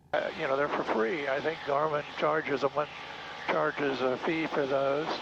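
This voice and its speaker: Over noticeable background noise, a man with an American accent talks at a fairly high pitch and a moderate pace, his intonation fairly even. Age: 60s. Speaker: private pilot. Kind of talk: casual flight narration. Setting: in small airplane cockpit. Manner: halting.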